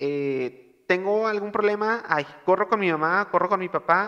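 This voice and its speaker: A man speaks loudly at a high pitch, his tone bright and sharp. His pitch varies in an ordinary way. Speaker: podcast host. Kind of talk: casual chat.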